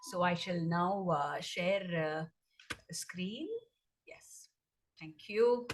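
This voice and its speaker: A woman with a Tamil accent at a very slow pace, fairly low in pitch with ordinary pitch variation, long, frequent pauses and big swings in loudness. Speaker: dancer. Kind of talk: presentation talk. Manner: hesitant, many fillers.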